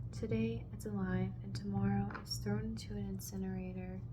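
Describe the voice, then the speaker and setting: Soft-spoken and very deep, low in pitch, a woman speaks at a moderate pace with very wide pitch swings over noticeable background noise. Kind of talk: ASMR Bible reading with personal commentary. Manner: soft-spoken, lofi ASMR.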